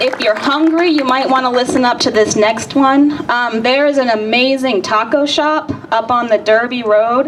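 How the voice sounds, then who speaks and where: A woman speaks at a high pitch with hardly any pauses and very even loudness, with noticeable background noise behind her. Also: ordinary pitch variation, moderate pace. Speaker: rally organizer. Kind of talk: rally speech. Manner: soft-spoken.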